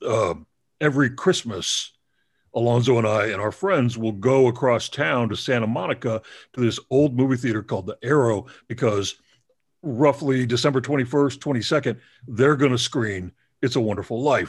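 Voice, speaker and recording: A man with a normal speaking voice and an American accent, medium pitch, ordinary pitch variation and moderate pace, on a very clean recording with a silent background. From Texas, Dallas. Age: 50s. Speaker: film critic and podcast host. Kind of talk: casual interview chat.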